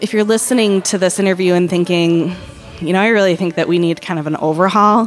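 A woman with a medium-pitched voice speaks at a very fast pace with fairly even intonation. Music plays in the background. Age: 30s. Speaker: marketing executive. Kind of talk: casual interview. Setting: bakery café.

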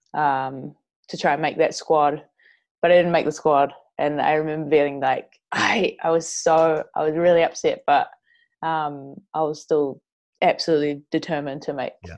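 At a moderate pace, a woman with a New Zealand accent speaks in a monotone, flat manner. Her pitch is very deep and low. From New Zealand, Northland. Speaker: professional footballer. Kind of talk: interview.

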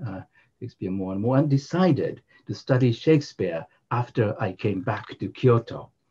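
A dark, mellow, somewhat breathy voice with a Japanese accent and lively intonation. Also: man. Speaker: English literature professor. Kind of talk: casual academic conversation.

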